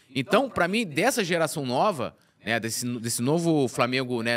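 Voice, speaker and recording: Lively intonation colors a man's speech, delivered at a moderate pace. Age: 40s. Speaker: sports web journalist. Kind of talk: casual chat. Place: studio. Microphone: studio mic.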